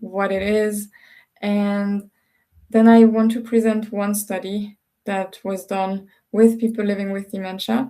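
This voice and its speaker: A woman's medium-pitched, dark and mellow voice, monotone and flat, at a fairly slow pace in a very clean recording with a silent background. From Switzerland. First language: French and Swiss German. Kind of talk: recorded lecture.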